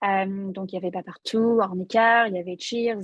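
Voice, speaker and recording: A woman's medium-pitched voice keeps fairly even intonation at a moderate pace. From Ireland. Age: 20s. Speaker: tech recruiter. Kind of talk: interview. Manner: halting, many fillers.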